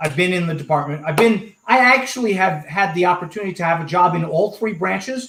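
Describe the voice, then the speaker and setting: Talking at a fairly quick pace with hardly any pauses, a man with an American accent has a high voice with a bright, sharp tone. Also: ordinary pitch variation. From Washington DC area. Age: 60s. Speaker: policy expert. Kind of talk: casual chat.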